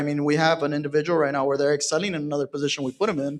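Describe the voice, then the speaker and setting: A man with a fairly high pitch and an American accent. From Texas, San Antonio. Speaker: real estate team leader. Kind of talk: panel discussion.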